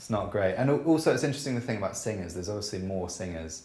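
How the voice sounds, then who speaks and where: Very fast and somewhat breathy, a man speaks with lively intonation and a dark, mellow tone. Room echo is audible. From Scotland. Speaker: jazz double bassist. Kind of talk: casual interview chat.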